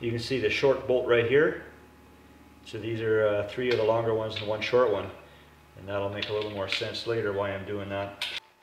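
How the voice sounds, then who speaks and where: A man's fairly low voice at a fairly quick pace, with audible room echo and light background noise. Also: fairly even intonation. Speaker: DIY video maker. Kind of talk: tutorial. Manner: casual, many filler words. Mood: calm, explanatory. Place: garage.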